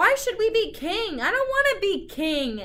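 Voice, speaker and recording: A woman puts on a squeaky character voice at an extremely high pitch, with very wide pitch swings, at a moderate pace. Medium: read story. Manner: timid, hesitant.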